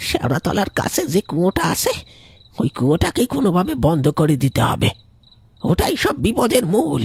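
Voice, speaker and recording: A cartoonish character voice moves at a moderate pace with very wide pitch swings. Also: man, high pitch for a man, very even loudness, dry, close sound with no echo. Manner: earnest, commanding.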